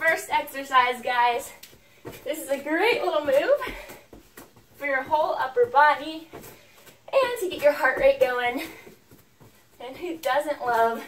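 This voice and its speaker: A woman with a high voice and lively intonation speaks at a very slow pace, with long, frequent pauses and big swings in loudness. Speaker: fitness instructor. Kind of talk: workout instruction. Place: home room. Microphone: camera far.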